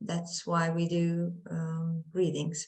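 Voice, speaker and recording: This woman talks at a very slow pace. Her pitch is fairly low. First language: Romanian. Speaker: drama student actor. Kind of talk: panel discussion. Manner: halting, many fillers.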